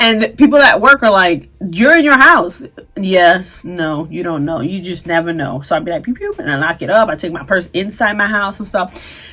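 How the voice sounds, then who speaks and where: A woman at a medium pitch with lively intonation, big swings in loudness, a moderate pace and hardly any pauses, over noticeable background noise. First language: Spanish. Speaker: beauty and fashion vlogger. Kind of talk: casual vlog chat.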